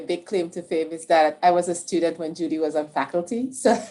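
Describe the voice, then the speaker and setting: With a Caribbean accent, a woman speaks at a moderate pace in a fairly low pitch, her tone dark and mellow with ordinary pitch variation. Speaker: infectious disease researcher. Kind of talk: panel discussion.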